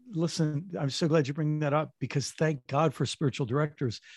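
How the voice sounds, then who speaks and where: This man's fairly high, somewhat breathy voice moves at a moderate pace with ordinary pitch variation, captured dry and close with no echo in a very clean recording against a silent background. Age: 60s. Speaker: author and former pastor. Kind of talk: interview conversation.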